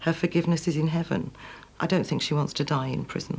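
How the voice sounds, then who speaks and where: Vocal fry colors speech delivered with a strong Manchester accent. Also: woman. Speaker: former prison governor. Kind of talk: documentary interview.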